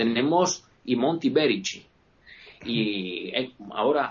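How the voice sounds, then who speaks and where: A man's medium-pitched voice at a fairly slow pace, with lively intonation and noticeable background noise. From Italy, Veneto (Vicenza province). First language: Italian (speaking Spanish). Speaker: guest speaking about his home region. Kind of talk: casual chat.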